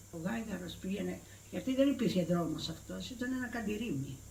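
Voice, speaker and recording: With a Cretan accent, a woman speaks at a moderate pace, her pitch swinging very widely, against noticeable background noise and audible room echo. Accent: Cretan Greek. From Crete, Greece. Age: 80s+. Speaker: retired villager. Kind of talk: oral history interview. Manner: halting.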